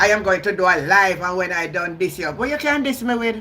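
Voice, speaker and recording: Over noticeable background noise, a woman with a strong Jamaican accent talks at a fairly quick pace in an animated tone, with ordinary pitch variation. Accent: Jamaican, heavy patois. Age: 60s. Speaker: YouTube live streamer, political commentator. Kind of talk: live stream commentary. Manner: animated, combative.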